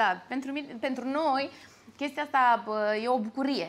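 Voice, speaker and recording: At a moderate pace, a woman is talking. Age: 30s. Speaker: actress and singer; actress. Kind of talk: interview. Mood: lively, animated storytelling. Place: cafe. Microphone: lapel.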